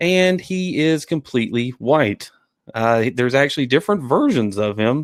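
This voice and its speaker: On a very clean recording with a silent background, a man with a Southern US accent talks at a moderate pace with lively intonation. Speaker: podcast host. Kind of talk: casual chat.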